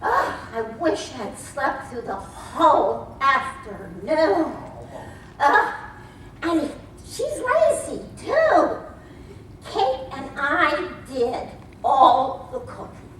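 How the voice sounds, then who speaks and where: A woman's put-on character voice, high in pitch and very slow, with a clear echo. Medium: stage play. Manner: playful, chuckling.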